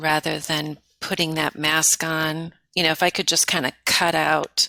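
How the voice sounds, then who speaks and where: A woman speaks fairly slowly in a very deep, low voice with vocal fry and monotone, flat intonation. Her bright, sharp tone stays at a very even loudness, with a dry, close sound with no echo. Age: 50s. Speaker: interview guest. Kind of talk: conversational interview. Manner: hesitant, many fillers.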